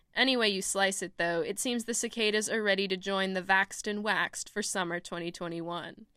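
On a very clean recording with a silent background, a woman with a bright, sharp tone and medium pitch talks at a fairly quick pace with hardly any pauses and fairly even intonation. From Texas, Austin. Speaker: student radio reporter. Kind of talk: scripted narration.

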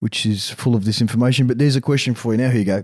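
The speaker has an Australian accent, a dark, mellow tone and fairly even intonation. The recording is very clean and silent in the background, with a dry, close sound and no echo. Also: man. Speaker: mental performance coach and co-host. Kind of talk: casual chat. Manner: halting, many fillers.

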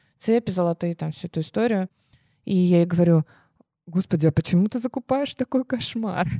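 In a very clean recording with a silent background and a dry, close sound with no echo, a woman with a dark, mellow tone and medium pitch speaks at a fairly quick pace with lively intonation and long, frequent pauses. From Russia, small village. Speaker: co-founder of a children's clothing brand. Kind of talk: casual interview.

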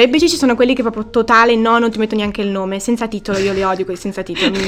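Music plays in the background as a woman talks at a very fast pace. She has a fairly high pitch and fairly even intonation. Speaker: podcast host. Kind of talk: casual interview chat. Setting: on location in Antwerp, in person. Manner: talkative.

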